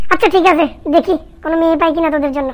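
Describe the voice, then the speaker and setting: A cartoonish character voice races along at a very fast pace in an extremely high pitch. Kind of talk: comic cartoon dubbing. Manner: teasing, indulgent.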